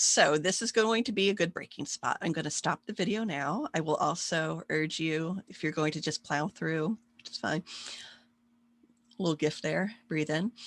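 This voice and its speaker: The sound is dry and close with no echo, with ordinary pitch variation. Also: woman, fairly low pitch for a woman. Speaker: psychology professor. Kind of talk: recorded online lecture. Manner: fast.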